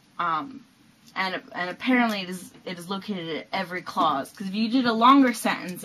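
A woman speaks with lively intonation at a moderate pace, with light background noise behind her. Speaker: linguistics video presenter. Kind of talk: educational explainer to camera. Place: home room. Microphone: webcam.

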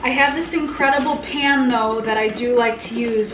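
Light background noise and audible room echo surround a woman speaking at a high pitch with ordinary pitch variation. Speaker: home cook vlogger. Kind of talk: casual cooking tutorial chat. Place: kitchen.

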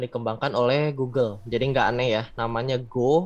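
A man's voice with fairly even intonation. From Bandung, West Java, Indonesia; West Java, Indonesia. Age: 20s. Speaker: backend developer; webinar presenter. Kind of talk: tutorial. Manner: casual. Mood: casual, friendly. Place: home room. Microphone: earbuds.

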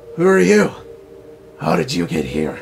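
Putting on a character voice, a man speaks in a very deep, low pitch. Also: moderate pace. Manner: eerie, questioning.

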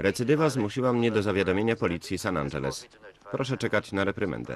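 Vocal fry runs through a man's fairly low voice. He talks at a very fast pace with very wide pitch swings. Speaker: Polish film voice-over reader (lektor). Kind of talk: single-voice film translation read over the original soundtrack.

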